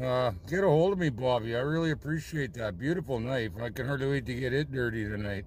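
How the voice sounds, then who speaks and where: Talking very fast with lively intonation, a man is recorded with a dry sound with no echo and light background noise. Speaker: trapper vlogger. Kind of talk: casual vlog chat. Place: car. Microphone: phone near.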